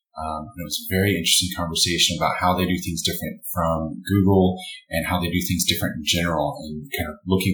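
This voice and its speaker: A man's very deep, low voice with ordinary pitch variation, and music in the background. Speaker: podcast host. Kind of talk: casual interview.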